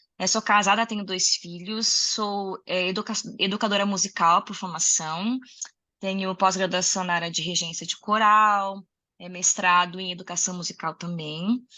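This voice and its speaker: Speaking in an unremarkable speaking voice, a woman keeps a medium pitch, a moderate pace and fairly even intonation. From Rio Grande do Sul, southern Brazil. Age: 30s. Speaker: music educator and singer. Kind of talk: interview conversation.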